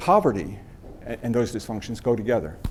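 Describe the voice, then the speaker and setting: In an American accent, a man speaks at medium pitch with audible room echo. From US East. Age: 60s. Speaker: guest speaker on mental health and homelessness. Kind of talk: talk to a class. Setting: university classroom. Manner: halting, with many repeats and fillers.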